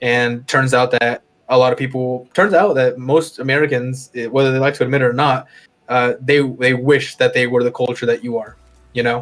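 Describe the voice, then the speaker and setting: Speech unfolds at a moderate pace. The accent is Spanish. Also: man, medium pitch for a man, fairly even intonation. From US, with half of each year in Mexico. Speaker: podcast co-host. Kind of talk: casual chat. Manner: halting, many restarts and fillers.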